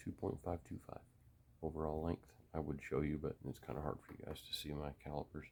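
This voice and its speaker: A man's very deep, low voice with vocal fry, flat monotone intonation and a fairly quick pace. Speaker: gun hobbyist video maker. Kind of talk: casual tutorial. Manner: quiet, subdued.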